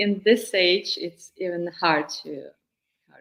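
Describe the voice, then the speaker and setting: Very slowly, a woman with a Ukrainian accent speaks at a fairly low pitch, her pitch varying in an ordinary way. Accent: Russian-speaking Ukrainian accent in English. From Ukraine, Kyiv. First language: Russian. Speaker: singer-songwriter and vocal coach. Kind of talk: interview. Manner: halting.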